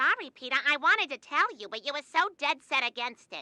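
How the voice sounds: A cartoonish character voice delivers its lines at a fairly quick pace. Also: female-sounding voice, high pitch for a woman.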